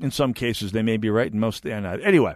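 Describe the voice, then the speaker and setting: A man with an American accent speaks in an unremarkable speaking voice with ordinary pitch variation against a quiet background. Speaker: conservative talk radio host. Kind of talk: political talk radio monologue. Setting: radio studio.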